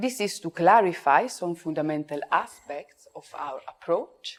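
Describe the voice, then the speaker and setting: A woman with an Italian accent speaks at a moderate pace. Her fairly low pitch moves in very wide swings. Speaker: psychosynthesis speaker. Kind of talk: conference talk read from script. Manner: reading aloud.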